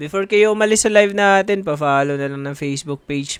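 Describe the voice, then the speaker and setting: A man with a Visayan accent talks at a fairly quick pace in a fairly high pitch over noticeable background noise. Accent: Bisaya. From Visayas, Philippines. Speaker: live streamer. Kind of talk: casual live stream chat. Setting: live stream.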